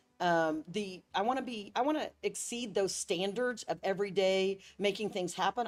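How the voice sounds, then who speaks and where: A woman with a plain, everyday voice speaks at a medium pitch and a moderate pace with lively intonation, on a very clean recording with a silent background. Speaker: tourism bureau CEO. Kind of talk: interview.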